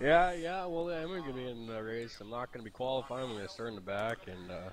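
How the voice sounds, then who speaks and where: Here is a man with an unremarkable speaking voice, medium pitch and a Canadian accent. He talks at a fairly quick pace with lively intonation. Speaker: sim racing commentator and driver. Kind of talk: live commentary.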